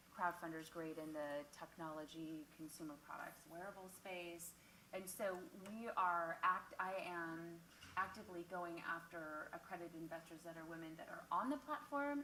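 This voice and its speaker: A woman talks at a moderate pace with a fairly low pitch and ordinary pitch variation. Her loudness swings widely over noticeable background noise. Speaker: crowdfunding platform executive. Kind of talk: panel discussion. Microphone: mic off, then too far from the mic.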